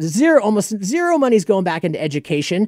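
At a moderate pace, a man speaks with very wide pitch swings in a dry, close sound with no echo. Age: 30s. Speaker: music promoter and event organizer. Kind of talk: casual chat. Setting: studio.

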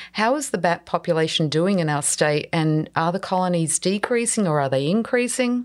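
In an Australian accent, a woman with a fairly low voice speaks at a moderate pace with lively intonation and hardly any pauses. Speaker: podcast host. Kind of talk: interview, scripted intro.

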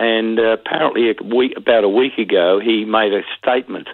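With an Australian accent, a man talks at a moderate pace and medium pitch with fairly even intonation. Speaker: former police detective. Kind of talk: interview. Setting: phone call.

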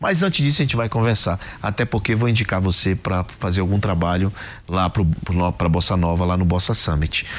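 The delivery is fairly quick, with very even loudness and ordinary pitch variation. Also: man, very deep, low pitch for a man. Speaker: podcast host and angel investor. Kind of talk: business interview.

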